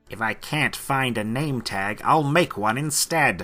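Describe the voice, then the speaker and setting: Using a put-on character voice, a man of medium pitch hisses his words at a fairly slow pace. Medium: read story. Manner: scheming, hissing.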